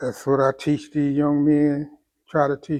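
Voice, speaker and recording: A man speaks very slowly in a fairly high pitch with flat, monotone intonation. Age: 80s+. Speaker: elderly school mentor. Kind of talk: interview, personal testimony. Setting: live show studio.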